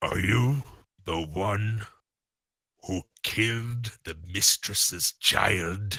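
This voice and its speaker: Putting on a character voice, a man speaks very slowly at a fairly low pitch, with long, frequent pauses. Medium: actual play. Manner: blunt, stern.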